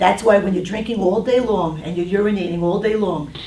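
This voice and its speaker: A woman with a New York accent speaks at a fairly quick pace and medium pitch. Noticeable background noise and audible room echo are present. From New York City (Brooklyn). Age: 60s. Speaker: diet counselor. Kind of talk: talk to a group with Q&A. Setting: room with small audience.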